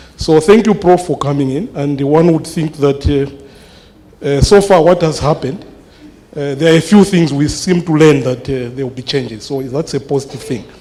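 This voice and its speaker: Noticeable background noise sits behind a man's voice. He speaks at a moderate pace, fairly high in pitch, with ordinary pitch variation. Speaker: mathematics lecturer. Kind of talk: town hall question. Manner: loud; halting, many fillers.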